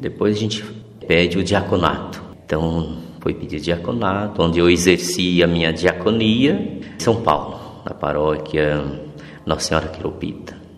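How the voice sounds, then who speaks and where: Speaking fairly slowly, a man uses a very deep, low pitch with ordinary variation. Room echo is audible, and background noise is noticeable. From Mato Grosso do Sul, Brazil. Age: 50s. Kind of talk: interview testimony.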